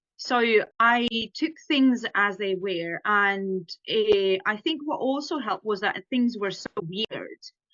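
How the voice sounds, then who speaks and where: Very slowly, a woman with a fairly high pitch speaks with lively intonation. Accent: Estonian. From Estonia. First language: Estonian. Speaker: ghostwriter and author. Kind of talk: podcast interview answer.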